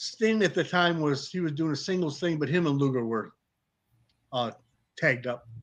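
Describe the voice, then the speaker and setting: Against a quiet background, a man with an American accent and a fairly high pitch uses ordinary pitch variation and leaves long, frequent pauses. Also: moderate pace. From Detroit, US Midwest. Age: 50s. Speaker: retired pro wrestler. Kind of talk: casual chat. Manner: animated.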